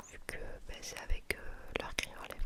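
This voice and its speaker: Someone is whispering at a fairly slow pace. Noticeable background noise sits behind the voice. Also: woman. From southern France (south-west, near Toulouse). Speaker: ASMR YouTuber. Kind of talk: ASMR Q&A chat. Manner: soft-spoken.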